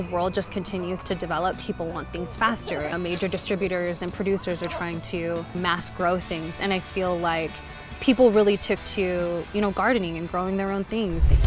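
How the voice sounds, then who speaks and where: Over clear music in the background, a woman speaks at a moderate pace with fairly even intonation in a dry sound with no echo. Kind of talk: interview answer. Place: garden. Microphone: lapel.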